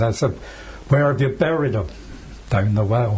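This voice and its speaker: A man's voice amid noticeable background noise. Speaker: war veteran. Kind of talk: interview answer.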